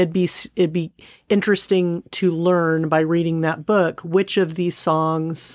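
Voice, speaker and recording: A woman in an unremarkable speaking voice, fairly low-pitched and fairly slow, on a very clean recording with a silent background. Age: 40s. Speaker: podcast co-host. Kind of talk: casual chat.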